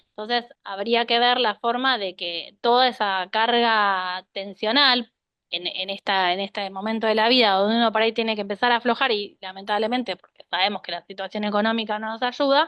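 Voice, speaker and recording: A woman's unremarkable speaking voice, fairly high in pitch, at a moderate pace with fairly even intonation and big swings in loudness. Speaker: cardiologist. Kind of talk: health talk with Q&A.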